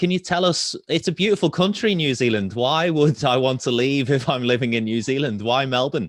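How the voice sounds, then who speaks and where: The speaker is a man with a British accent. His intonation has plenty of life. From UK. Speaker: webinar moderator. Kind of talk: webinar panel discussion.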